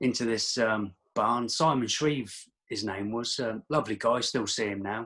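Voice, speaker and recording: A man with a Norfolk accent, medium pitch, ordinary pitch variation and a moderate pace. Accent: Norfolk twang. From England, Daventry, Northamptonshire. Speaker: martial artist. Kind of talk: casual chat. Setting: call.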